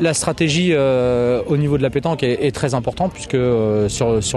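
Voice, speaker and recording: A man's voice over noticeable background noise. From Paris region, France. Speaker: petanque player. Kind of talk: interview. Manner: hesitant, many fillers.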